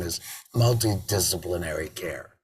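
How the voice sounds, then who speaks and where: Speaking with an American accent, a somewhat breathy man lets his pitch vary in an ordinary way. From Maryland, USA. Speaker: laryngectomee advocate and business owner. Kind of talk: interview answer.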